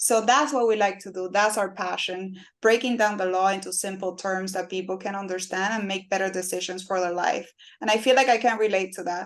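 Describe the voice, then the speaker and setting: A woman with a Spanish accent speaks at a fairly quick pace and medium pitch. Her intonation is fairly even, and the background is quiet. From Cuba. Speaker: personal injury lawyer. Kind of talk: interview.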